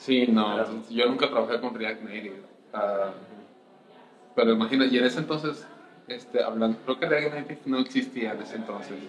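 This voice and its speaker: Medium pitch from a man with ordinary pitch variation, a fairly quick pace and long, frequent pauses, plus noticeable background noise. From Colombia, then Mexico from age 15. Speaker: senior software engineer. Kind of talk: casual interview.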